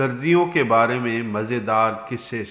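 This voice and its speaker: Noticeable background noise surrounds a man's voice. His pitch is medium, with ordinary variation. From Pakistan. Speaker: voice over artist. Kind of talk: moral story narration.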